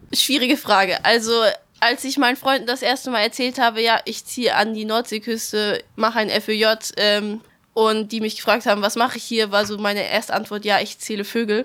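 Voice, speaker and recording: A woman's fairly high, bright and sharp voice, fairly quick in pace, with monotone, flat intonation. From Swabia, near Stuttgart. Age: 19. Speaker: ecological volunteer. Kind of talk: interview. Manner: hesitant, many fillers.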